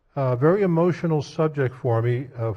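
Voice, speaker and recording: A man speaks with a dark, mellow tone. His voice is somewhat breathy, with ordinary pitch variation. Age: 70s. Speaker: state senator. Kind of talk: floor debate speech. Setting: legislative chamber.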